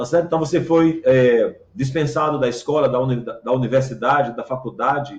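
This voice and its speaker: Somewhat breathy and fairly high-pitched, a man talks at a moderate pace with fairly even intonation. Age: 60s. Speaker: pastor. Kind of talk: sermon. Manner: halting, frequent fillers.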